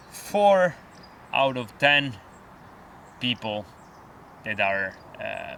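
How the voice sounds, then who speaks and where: A man talks with an Italian accent. His intonation is lively. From Italy. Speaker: outdoor vlogger. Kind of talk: vlog monologue. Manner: halting.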